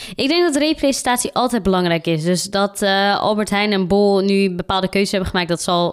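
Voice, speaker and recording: An unremarkable speaking voice from a woman, medium in pitch, at a fairly quick pace. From Netherlands, Randstad. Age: 20s. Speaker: diversity consultant. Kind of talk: interview.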